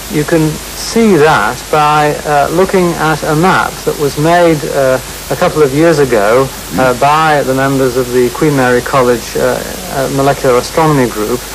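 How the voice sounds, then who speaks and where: Noticeable background noise surrounds a man talking at a moderate pace. His pitch is fairly high, with ordinary variation. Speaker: astronomer. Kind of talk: TV interview answer. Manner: hesitant.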